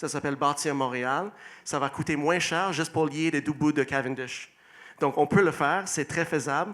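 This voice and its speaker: A man's fairly high voice at a moderate pace, with fairly even intonation, on a very clean recording with a silent background. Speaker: mayoral candidate. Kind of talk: election debate opening statement. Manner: hesitant, with fillers and restarts.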